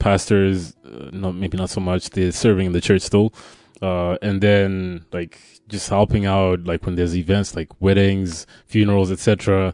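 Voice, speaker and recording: Music plays in the background as a man talks at a moderate pace. His pitch is very deep and low. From Zimbabwe. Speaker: pastor's kid sharing experience, bank communications professional. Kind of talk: casual interview chat.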